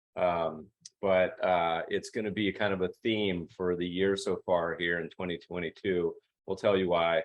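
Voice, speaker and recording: A man with a very deep, low pitch and an American accent, monotone, flat intonation, and a fairly slow pace. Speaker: investment manager and podcast host. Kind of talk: virtual presentation. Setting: video call webinar. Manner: casual, chatty.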